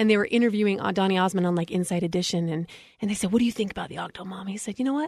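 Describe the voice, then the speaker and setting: A woman talks at a very fast pace with an American accent. Her pitch is medium, with ordinary variation. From Utah. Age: 30s. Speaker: mom influencer. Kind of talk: casual chat.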